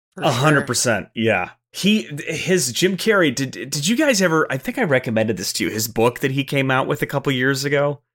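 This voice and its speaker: Here is a plain, everyday voice from a man, fairly high in pitch with lively intonation. He moves at a fairly quick pace with hardly any pauses. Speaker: actor guest. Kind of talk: casual chat.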